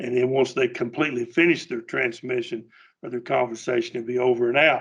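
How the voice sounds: A man talks at a fairly quick pace, his medium pitch carrying a slightly husky edge and fairly even intonation.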